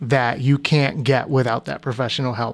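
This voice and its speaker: On a very clean recording with a silent background, a man with a normal speaking voice talks at a moderate pace in a medium pitch, with fairly even intonation. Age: 30s. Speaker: podcast host. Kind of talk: casual chat.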